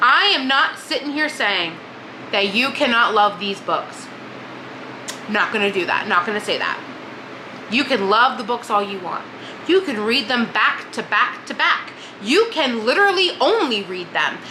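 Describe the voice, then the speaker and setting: With noticeable background noise and audible room echo, a woman speaks in an animated tone at a high pitch, her voice swinging very widely in pitch between long, frequent pauses. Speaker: book vlogger. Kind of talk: casual monologue. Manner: fast.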